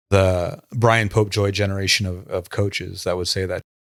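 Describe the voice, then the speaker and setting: A man speaks at a fairly low pitch with fairly even intonation, in a plain, everyday voice. It is a very clean recording with a silent background, dry and close with no echo. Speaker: former muay thai gym co-founder, fight page admin. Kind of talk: casual podcast chat.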